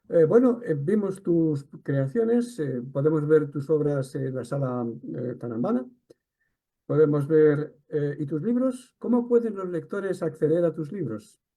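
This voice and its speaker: A man with a Catalan accent speaks at a fairly slow pace in a dark, mellow tone. His pitch sits fairly high and moves in very wide swings. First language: Catalan (speaking Spanish). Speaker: interviewer. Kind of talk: interview.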